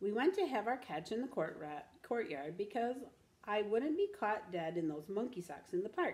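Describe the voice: What is heard here is plain reading aloud.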